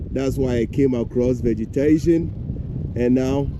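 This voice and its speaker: A man is speaking. Noticeable background noise runs beneath his voice. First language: Fante. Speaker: travel vlogger. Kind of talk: travel vlog commentary.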